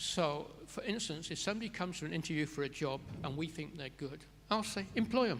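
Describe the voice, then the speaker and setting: An ordinary speaking voice with lively intonation. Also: man, fairly high pitch for a man, fairly quick pace. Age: 60s. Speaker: care resort director. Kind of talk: interview Q&A at a symposium.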